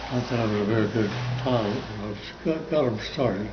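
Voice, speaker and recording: Medium-pitched male voice at a moderate pace over noticeable background noise. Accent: American. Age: 80s+. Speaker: war veteran. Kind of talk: interview answer.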